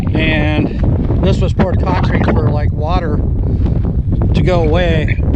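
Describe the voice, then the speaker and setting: A man speaks at a very slow pace against noticeable background noise, with audible room echo. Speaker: vlogger exploring old sites. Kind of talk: outdoor exploration vlog narration. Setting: outdoors, hiking. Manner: loud, raised voice over wind; hesitant, many fillers.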